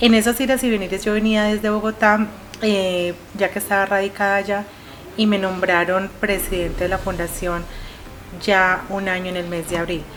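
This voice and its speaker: Noticeable background noise sits behind a woman at medium pitch. She talks at a moderate pace with monotone, flat intonation. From Colombia. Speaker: veterans' foundation president. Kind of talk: interview.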